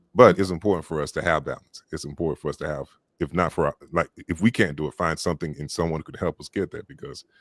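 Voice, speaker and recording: On a very clean recording with a silent background and a dry, close sound with no echo, a man with a Southern US accent talks very fast in a very deep, low voice, his loudness swinging widely while his pitch varies in an ordinary way. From US South. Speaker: audiobook narrator. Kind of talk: casual chat.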